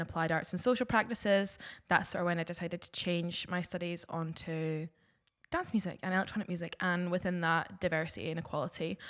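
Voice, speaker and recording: In a Scottish accent, a woman with a fairly low voice speaks at a fairly quick pace with fairly even intonation on a very clean recording with a silent background. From southwest Scotland, Dumfries. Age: 20s. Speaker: DJ. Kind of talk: casual podcast introduction.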